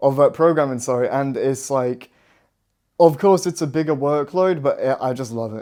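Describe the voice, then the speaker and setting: A man's dark, mellow tone at medium pitch, moderate pace and ordinary pitch variation, in a very clean recording with a silent background. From Yorkshire, northern England. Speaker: student radio presenter. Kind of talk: casual interview. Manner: animated.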